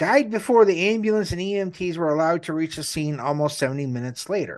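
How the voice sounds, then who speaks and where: Over a quiet background, a man talks at a fairly quick pace in a high voice. His pitch varies in an ordinary way. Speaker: podcast host. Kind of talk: casual true crime podcast banter and narration. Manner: joking, snarky.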